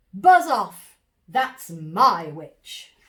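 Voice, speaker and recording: A woman's put-on character voice, fairly high and shrill, croaky and growling, with very wide pitch swings. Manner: fierce, shouting.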